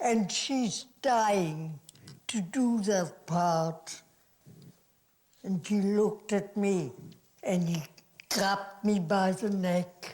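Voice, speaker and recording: A woman at a medium pitch, very slow pace and very even loudness, with ordinary pitch variation and long, frequent pauses. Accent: German. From Germany. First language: German. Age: 80s+. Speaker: actress. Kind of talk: interview answer.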